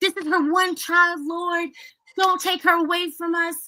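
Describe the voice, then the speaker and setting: Shouting in a put-on character voice at an extremely high pitch, a woman delivers her lines at a moderate pace with monotone, flat intonation. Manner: pleading, screaming at God.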